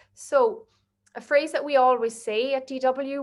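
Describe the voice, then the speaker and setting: A woman speaks in a high pitch with an Irish accent. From Ireland. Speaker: marketing agency director. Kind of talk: webinar presentation. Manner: fast.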